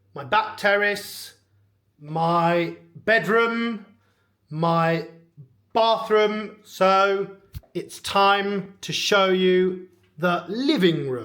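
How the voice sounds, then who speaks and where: A man with a high pitch and a bright, sharp tone leaves long, frequent pauses, with ordinary pitch variation, on a very clean recording with a silent background. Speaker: English teacher. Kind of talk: vlog house tour for English learners. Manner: clear, slow.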